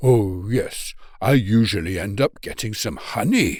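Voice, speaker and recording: A man speaks in a put-on character voice. His pitch is medium, and his pace is fairly slow. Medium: read story. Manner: slow, thoughtful.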